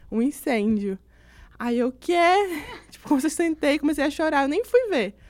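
Very wide pitch swings and big loudness swings from a high-pitched woman at a moderate pace. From Brazil, Pará (Altamira). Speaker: journalism student. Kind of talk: casual chat. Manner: animated.

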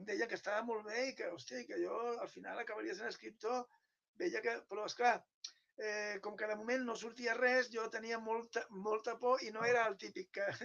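The man's voice is extremely high, with ordinary pitch variation. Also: moderate pace. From Catalonia (Penedès). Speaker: writer. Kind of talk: interview conversation.

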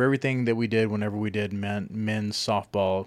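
In a very clean recording with a silent background, a man with an American accent talks at a fairly quick pace in a medium pitch, using an ordinary speaking voice. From Texas, Lubbock. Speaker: podcast co-host. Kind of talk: casual chat.

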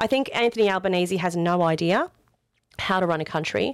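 A woman speaks with an Australian accent. Her pitch is medium and her pace is moderate. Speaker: political candidate. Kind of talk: interview.

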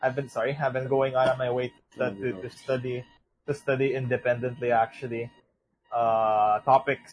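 The voice is somewhat breathy with an animated tone. Its pace is moderate. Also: man. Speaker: podcast host. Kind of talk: casual chat. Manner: animated, joking.

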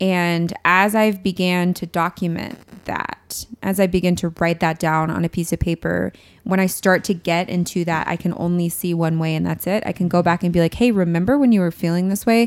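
This woman has an ordinary speaking voice with a fairly low pitch. She keeps a moderate pace and fairly even intonation. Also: hardly any pauses. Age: 20s. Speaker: podcast guest in pastoral career. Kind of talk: personal testimony in casual chat.

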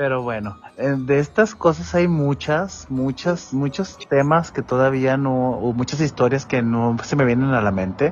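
With music in the background, a man with a Mexican accent speaks at a medium pitch and a fairly slow pace with lively intonation. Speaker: office worker. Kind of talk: storytelling.

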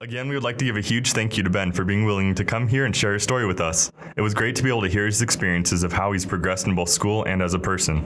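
Speaking very fast with hardly any pauses, a man keeps his loudness very even at a fairly low pitch. His pitch varies in an ordinary way, and background noise is noticeable. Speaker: student podcast host. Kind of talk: casual chat.

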